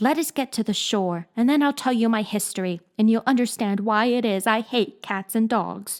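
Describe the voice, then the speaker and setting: On a very clean recording with a silent background, a woman uses a shaky, put-on character voice with a fairly high pitch at a moderate pace. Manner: trembling.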